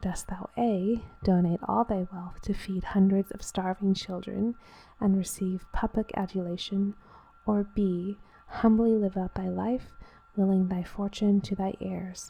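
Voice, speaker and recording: Soft-spoken and somewhat breathy, a woman with a dark, mellow tone and medium pitch speaks at a fairly slow pace in monotone, flat intonation. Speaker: ASMR creator. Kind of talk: reading game text aloud.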